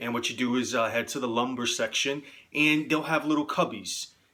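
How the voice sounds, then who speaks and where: A man with a New York accent speaks at a fairly high pitch with ordinary pitch variation. There is noticeable background noise. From New York City, the Bronx. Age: 30s. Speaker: amateur stickball player. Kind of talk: tutorial. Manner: casual, with frequent filler words.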